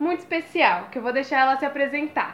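A woman is speaking. Her pace is fairly quick. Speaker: podcast host. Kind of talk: casual chat. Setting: at home.

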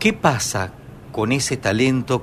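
Noticeable background noise surrounds a man of medium pitch speaking with a Rioplatense accent. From Argentina. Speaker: radio host and pianist. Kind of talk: radio interview.

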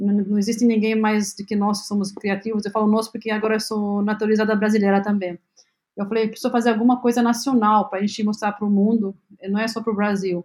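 This woman's fairly high voice is somewhat breathy and stays monotone, with flat intonation. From Lebanon. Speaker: health tech company CEO. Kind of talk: interview. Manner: halting, many fillers.

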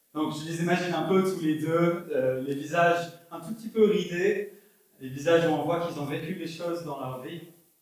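With audible room echo, a man speaks at a moderate pace in a high pitch with fairly even intonation. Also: big swings in loudness. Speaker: pastor. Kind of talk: sermon. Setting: church. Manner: halting.

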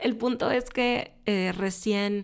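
A woman talks with fairly even intonation, captured on a very clean recording against a silent background. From Mexico, Monterrey. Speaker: film producer and podcast host. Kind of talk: casual solo podcast talk. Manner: hesitant, with frequent filler 'eh'.

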